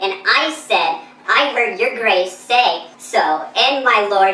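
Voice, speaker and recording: In a put-on character voice, a woman speaks high-pitched and fairly slowly, her loudness very even, with a slight echo around her. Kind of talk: Shakespearean verse acting. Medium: short film. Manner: excitable, protesting.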